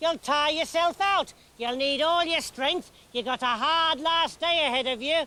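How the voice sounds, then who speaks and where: A man does a put-on character voice at an extremely high pitch and a moderate pace. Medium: read story. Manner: suspicious, tart.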